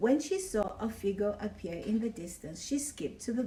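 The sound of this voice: This is an unforced reading voice.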